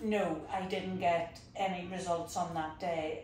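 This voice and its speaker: A woman with a Northern Irish accent, medium pitch, monotone, flat intonation and a fairly slow pace, amid audible room echo and noticeable background noise. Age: 60s. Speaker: patient. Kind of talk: interview testimony. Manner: calm.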